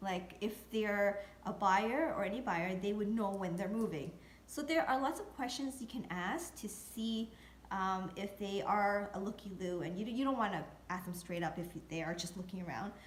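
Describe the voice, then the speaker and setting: A woman at a medium pitch and moderate pace, with ordinary pitch variation, audible room echo and noticeable background noise. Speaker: real estate video blogger. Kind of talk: tutorial. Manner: hesitant, many fillers.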